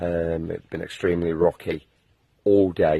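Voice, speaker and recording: In an English accent, a man speaks with a very deep, low pitch and a dark, mellow tone, flat and monotone in intonation, captured dry and close with no echo. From England. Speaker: long-distance hiker, video blogger. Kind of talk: casual video diary.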